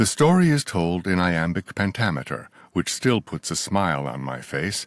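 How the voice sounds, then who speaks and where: A man talks at a moderate pace with a very deep, low pitch and vocal fry. The sound is dry and close, with no echo, in a very clean recording over a silent background. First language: not English. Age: 60s. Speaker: author. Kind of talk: reading aloud. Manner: formal.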